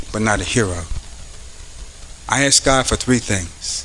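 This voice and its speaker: Over noticeable background noise, a man speaks at a medium pitch with ordinary pitch variation. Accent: American. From US Northeast (Paterson, New Jersey). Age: 50s. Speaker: police captain. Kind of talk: motivational speech. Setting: school event with audience.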